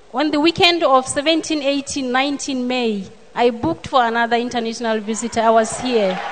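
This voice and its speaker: A woman's high pitch with ordinary pitch variation at a moderate pace, against noticeable background noise. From Botswana. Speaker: church member giving testimony. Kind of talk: testimony. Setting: church service.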